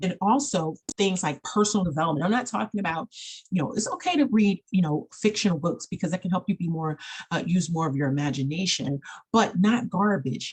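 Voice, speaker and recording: A woman talks at a very fast pace in an animated tone. Her voice is somewhat breathy, with ordinary pitch variation. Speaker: life coach and counselor. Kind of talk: online training presentation. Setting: screen-shared video.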